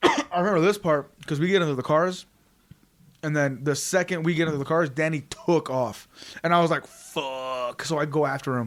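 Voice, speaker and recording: A man with an American accent speaks in an ordinary speaking voice at a moderate pace. His pitch is fairly high and varies in an ordinary way. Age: 20s. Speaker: podcast host. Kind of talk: casual chat.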